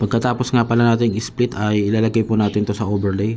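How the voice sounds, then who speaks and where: A man speaks at a fairly low pitch. Noticeable background noise is present. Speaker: video tutorial creator. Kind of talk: tutorial. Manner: halting, many fillers.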